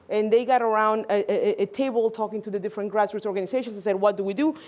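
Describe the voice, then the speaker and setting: A woman at a very fast pace, with ordinary pitch variation. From Mexico. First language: Spanish. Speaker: congressional district director, immigrant advocate. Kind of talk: panel discussion.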